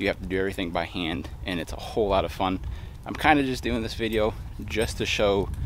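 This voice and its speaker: A man with vocal fry and a fairly low pitch, at a moderate pace with ordinary pitch variation. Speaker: fishing vlogger. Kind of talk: vlog narration. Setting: outdoors by a pond. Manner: casual, filler-heavy; quiet, low voice.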